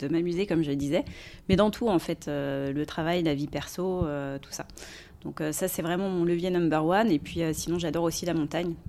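A woman with an unremarkable speaking voice talks at a moderate pace, her fairly low pitch held in fairly even intonation. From Paris region, France. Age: 40s. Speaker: recruiter. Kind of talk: casual interview. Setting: office.

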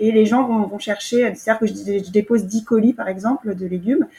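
A somewhat breathy woman at a fairly quick pace, her intonation fairly even. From France, Yvelines. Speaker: market gardener. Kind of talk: interview. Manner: halting, many repetitions.

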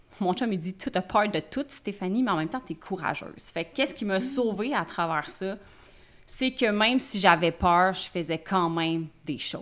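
This speaker, in a Quebec accent, talks at a moderate pace with lively intonation. The recording is very clean, with a silent background. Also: woman. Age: 30s. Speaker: life coach and entrepreneur. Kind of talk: interview. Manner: casual.

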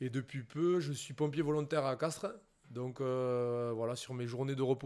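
Keeping a medium pitch and fairly even intonation, a man talks at a moderate pace. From southwest France, Béarn (Pyrénées-Atlantiques). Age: 30s. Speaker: professional rugby player. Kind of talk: casual interview. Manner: hesitant, many fillers and repetitions.

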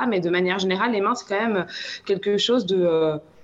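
Noticeable background noise behind a woman's voice of medium pitch. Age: 30s. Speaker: palmist, sound therapist, café co-owner. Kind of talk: casual chat. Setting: video call.

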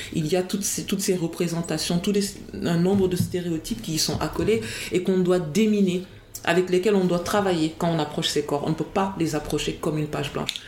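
Fairly low-pitched, the woman talks at a fairly quick pace with fairly even intonation. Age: 40s. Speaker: academic and writer. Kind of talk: interview. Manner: halting, repeats words.

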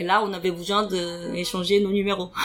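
This woman has a Korean accent. She talks at a fairly slow pace with a medium pitch. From South Korea. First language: Korean (speaking French). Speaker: podcast guest sharing personal story. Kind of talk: interview testimony. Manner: halting with many fillers.

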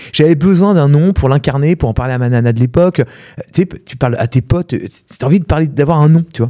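With a dark, mellow tone, a man speaks very fast at a fairly high pitch, varying it in an ordinary way. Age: 40s. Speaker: entrepreneur, platform founder. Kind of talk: casual interview.

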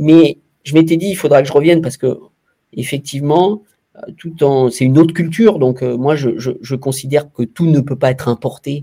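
Somewhat breathy, fairly high male speech, dark and mellow in tone, with ordinary pitch variation and a moderate pace. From France, Saint-Étienne. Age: 50s. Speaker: former sports journalist and club executive. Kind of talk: interview. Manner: halting, many repetitions and hesitations.

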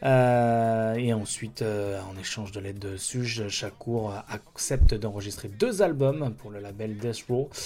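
Big swings in loudness cut through a man's fairly low, dark and mellow voice, delivered at a fairly slow pace with fairly even intonation. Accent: French. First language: French. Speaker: radio host. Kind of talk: radio music show presentation. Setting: radio studio. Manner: hesitant, with filler words.

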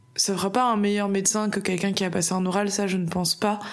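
This woman's voice sits at a medium pitch. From France, Bordeaux. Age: 20s. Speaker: medical student, former nurse. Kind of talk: casual interview chat.

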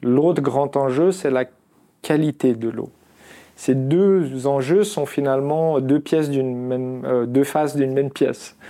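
A man with a dark, mellow tone at a fairly high pitch, fairly even intonation and a very slow pace. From Algeria (Constantine). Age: 40s. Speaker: tech entrepreneur. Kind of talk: interview.

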